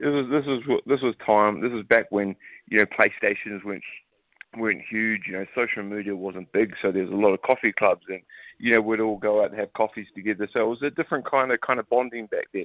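With a New Zealand accent, a man speaks at a fairly quick pace in a medium pitch. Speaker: retired rugby league player. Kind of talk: interview. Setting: phone call. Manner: animated.

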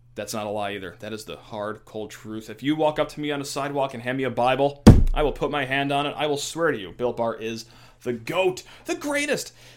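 Fairly high-pitched man, animated tone, ordinary pitch variation, fairly quick pace, noticeable background noise. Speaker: sports podcast host. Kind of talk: casual chat.

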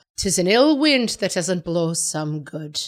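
A female-sounding, put-on character voice with an Irish accent speaks at medium pitch and a fairly slow pace. The recording is very clean with a silent background. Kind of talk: old-fashioned proverb.

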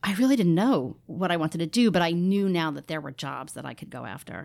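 On a very clean recording with a silent background, a woman with an American accent uses a normal speaking voice, fairly low in pitch with ordinary variation, at a fairly quick pace. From New York, Rockland County. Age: 40s. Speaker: theatre marketing director. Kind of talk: interview.

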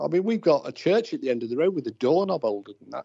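Talking at a fast pace, a man with a fairly high pitch shows big pitch swings, vocal fry, a dark, mellow tone, and a slightly husky edge.

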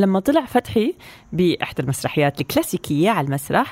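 Recorded dry and close with no echo, a woman speaks with very wide pitch swings. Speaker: radio co-host. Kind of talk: casual radio chat.

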